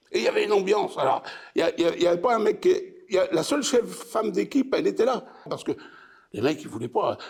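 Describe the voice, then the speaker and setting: A man at a very fast pace, broken by long, frequent pauses. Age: 70s. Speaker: retired factory worker. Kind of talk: oral history interview. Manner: halting.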